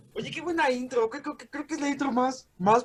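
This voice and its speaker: A man's voice against noticeable background noise. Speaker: podcast host. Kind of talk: podcast host talk. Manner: casual, friendly.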